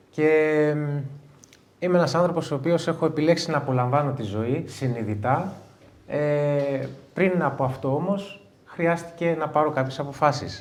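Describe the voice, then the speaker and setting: Room echo is audible as a man speaks at a fairly slow pace. His pitch is fairly high, with ordinary variation. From Greece, Igoumenitsa (Epirus). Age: 40s. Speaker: interview guest, coach. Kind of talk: live interview before an audience. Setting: stage with audience.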